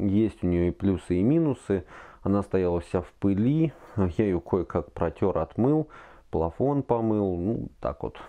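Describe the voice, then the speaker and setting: A normal speaking voice talks at a fairly slow pace. The background is quiet. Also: man. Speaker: product reviewer. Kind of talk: casual review talk. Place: home room.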